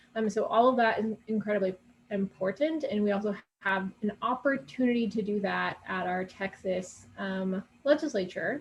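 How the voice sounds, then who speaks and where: Somewhat breathy, a woman speaks at a moderate pace in a medium pitch with ordinary pitch variation. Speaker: advocacy committee chair. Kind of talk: presentation. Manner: many filler words (um, uh).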